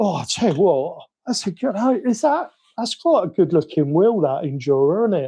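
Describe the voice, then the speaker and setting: A man with a British accent, high pitch, dark, mellow tone, very wide pitch swings and a moderate pace. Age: 50s. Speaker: RC hobby streamer. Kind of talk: live stream chat. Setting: home live stream. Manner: rambling; animated.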